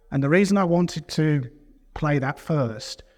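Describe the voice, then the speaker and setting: A man with a British accent, at a fairly slow pace, with ordinary pitch variation in a very clean recording with a silent background. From UK. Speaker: company founder and session moderator. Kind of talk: conference presentation.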